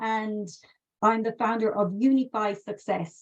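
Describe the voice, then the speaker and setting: A woman speaks in a fairly high pitch with an Irish accent. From west of Ireland, County Mayo. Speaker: customer success consultant and trainer. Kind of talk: webinar presentation. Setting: live webinar video call. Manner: conversational, many fillers.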